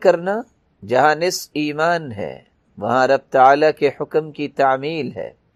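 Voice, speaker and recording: A man's fairly high-pitched, normal speaking voice with lively intonation, dry and close with no echo. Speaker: Islamic preacher. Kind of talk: Islamic sermon in Urdu.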